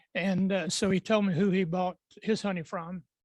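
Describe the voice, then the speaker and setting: A man's high-pitched voice, dry and close with no echo, in a very clean recording over a silent background. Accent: Appalachian. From Western North Carolina mountains. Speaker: beekeeper, panel expert. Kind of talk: panel talk at club meeting. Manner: halting, many fillers.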